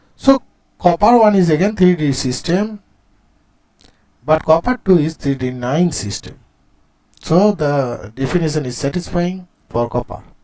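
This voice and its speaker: Lively intonation runs through a man's high-pitched voice with a dark, mellow tone. He moves at a fairly slow pace, with long, frequent pauses. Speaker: chemistry teacher. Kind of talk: lecture.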